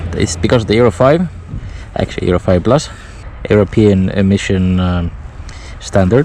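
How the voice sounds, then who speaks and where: Pausing long and often, a man with a fairly low pitch and ordinary pitch variation talks over noticeable background noise. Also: moderate pace. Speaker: motorcycle reviewer. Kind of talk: unscripted POV ride review. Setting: outdoors. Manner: relaxed.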